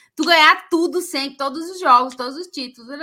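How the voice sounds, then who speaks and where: On a very clean recording with a silent background, a woman speaks in a raised, projected voice with a bright, sharp tone. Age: 40s. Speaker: football podcast co-host. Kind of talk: casual chat.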